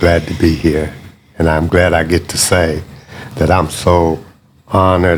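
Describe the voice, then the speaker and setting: Noticeable background noise sits behind this fairly slow delivery. The intonation is monotone and flat. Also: man. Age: 60s. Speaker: pastor. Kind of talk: interview.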